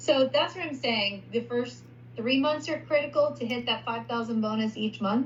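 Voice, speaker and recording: A woman speaks with a fairly high voice. Her pitch varies in an ordinary way. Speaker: payments sales recruiter. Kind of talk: sales pitch over screen share. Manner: fast.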